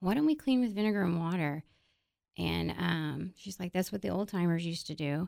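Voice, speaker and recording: Recorded very cleanly against a silent background, a woman with an American accent uses a normal speaking voice at a fairly low pitch, talking at a fairly quick pace with ordinary pitch variation. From Texas, San Antonio. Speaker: cleaning products entrepreneur. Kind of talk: casual interview.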